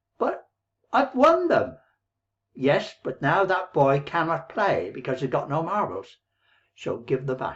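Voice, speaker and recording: In an Irish accent, a man speaks at a high pitch and a fairly slow pace, with very wide pitch swings and long, frequent pauses. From Ireland, near Dublin. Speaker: online business coach. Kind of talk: motivational talk to camera. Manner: rambling, conversational.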